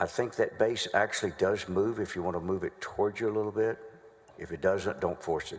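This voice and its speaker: A man with a Southern US accent speaks at a fairly quick pace, his fairly low voice keeping a fairly even intonation. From North Carolina. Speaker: prosecutor. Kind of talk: courtroom examination. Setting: legislative chamber courtroom.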